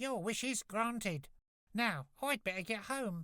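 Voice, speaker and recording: Someone talks in a put-on character voice at a fairly slow pace. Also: female-sounding voice, fairly high pitch for a woman. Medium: read story.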